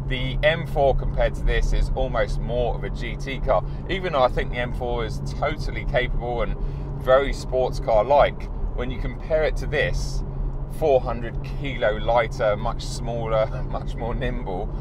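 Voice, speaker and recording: The recording of a man talking at a fairly slow pace is dry with no echo, though background noise is noticeable. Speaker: car reviewer. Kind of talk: casual review commentary. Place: car.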